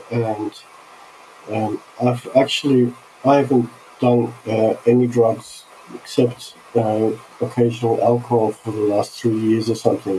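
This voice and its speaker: With an Australian accent, a man speaks in a flat, monotone intonation at a fairly slow pace. Long, frequent pauses break up his speech over noticeable background noise. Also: medium pitch for a man. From Australia (Sydney), born in Turkey. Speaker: visionary artist. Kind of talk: casual chat.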